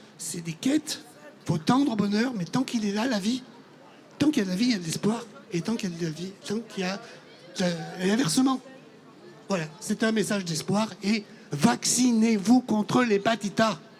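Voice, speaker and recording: Against crowd noise in the background, a man with a high pitch and ordinary pitch variation speaks with long, frequent pauses. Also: moderate pace. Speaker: audience member, liver transplant patient. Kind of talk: testimony.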